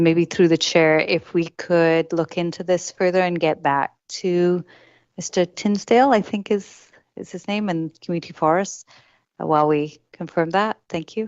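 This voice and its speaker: A woman with a fairly low pitch speaks with fairly even intonation. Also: moderate pace. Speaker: city staff official. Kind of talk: council meeting response. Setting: council meeting. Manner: formal; quiet.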